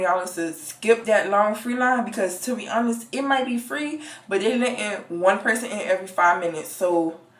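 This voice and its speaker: A woman speaks with lively intonation at a moderate pace. There is noticeable background noise. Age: young. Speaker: college student. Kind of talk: casual story time to camera.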